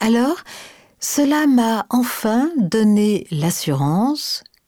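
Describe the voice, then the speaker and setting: A woman's voice with a dark, mellow tone moves through very wide pitch swings. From France, Paris area. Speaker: voice of train station announcements. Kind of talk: scripted narration. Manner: slow.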